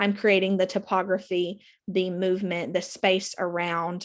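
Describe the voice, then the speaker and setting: A woman's voice over a quiet background. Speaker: theatre instructor. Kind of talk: lecture. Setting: recorded video lecture. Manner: fast.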